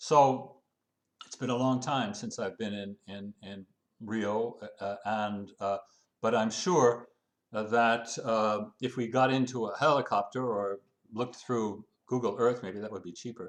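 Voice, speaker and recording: The man's pitch is medium and his intonation fairly even. He talks fairly slowly, with big swings in loudness. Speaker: transport policy consultant. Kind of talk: interview. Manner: halting, many fillers.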